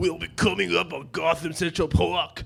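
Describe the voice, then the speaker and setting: With music in the background, a man performs a put-on character voice at a fairly high pitch. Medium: stage play. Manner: laughing through lines.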